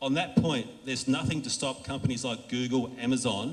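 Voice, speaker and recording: A man talks at a fairly quick pace with fairly even intonation. Audible room echo and noticeable background noise surround him. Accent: Australian. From Australia. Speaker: industry conference speaker. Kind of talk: conference talk. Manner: casual, with frequent fillers and restarts.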